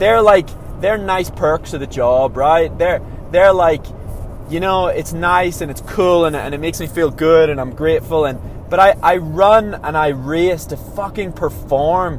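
Noticeable background noise sits behind a man with an Irish accent whose high pitch varies in an ordinary way. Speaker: professional runner. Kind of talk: casual monologue. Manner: halting.

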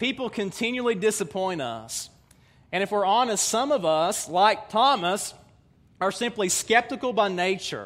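A man's high-pitched voice with an Appalachian accent, moderate pace and ordinary pitch variation. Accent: Southern US (Appalachian). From US South, East Tennessee mountains. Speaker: pastor. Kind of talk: sermon.

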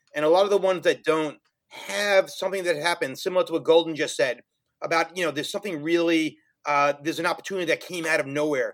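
Talking at a very fast pace, a man uses a high voice with ordinary pitch variation. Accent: New York. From New York City (Brooklyn and Queens). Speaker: finance professional and social entrepreneur. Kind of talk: casual interview.

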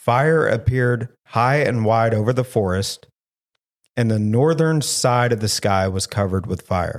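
A voice with a Southern US accent and ordinary pitch variation comes through in a very clean recording with a silent background. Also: man. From US South. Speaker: paranormal podcast host. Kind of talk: casual chat; reading research aloud in casual podcast.

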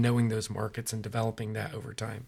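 Here a man speaks with an American accent at a medium pitch. His intonation is monotone and flat. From Central Valley, California (Modesto). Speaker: real estate investor, podcast co-host. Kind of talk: casual business discussion.

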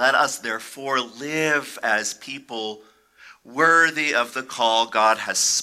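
A natural voice, reading aloud.

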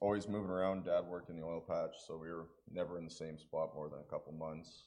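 A man with a Western Canadian accent talks at a very fast pace in a very deep, low voice. His loudness swings widely, and the room echo is audible. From rural Alberta, Canada. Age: 20s. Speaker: recovery program student. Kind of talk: testimony interview. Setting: church service.

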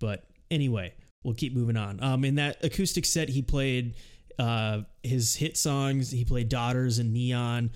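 In an ordinary speaking voice, a man talks at a medium pitch and fairly slow pace, with ordinary pitch variation and very even loudness, on a very clean recording with a silent background. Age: 20s. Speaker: music podcast host. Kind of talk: casual chat.

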